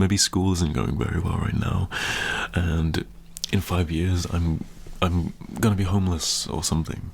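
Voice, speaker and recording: A man speaks at a moderate pace in a relaxed tone, his very deep, low pitch moving with ordinary variation. Long, frequent pauses break up his speech, and background noise is noticeable. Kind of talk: motivational talk to camera, asmr. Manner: relaxed, reassuring, conversational.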